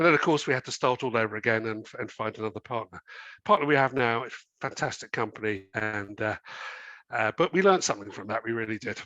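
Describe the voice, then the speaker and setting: A man with an English accent and a bright, sharp tone at medium pitch, very fast, with ordinary pitch variation, a dry, close sound with no echo, and a quiet background. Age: 60s. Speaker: company chairman. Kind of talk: interview. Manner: hesitant, many fillers.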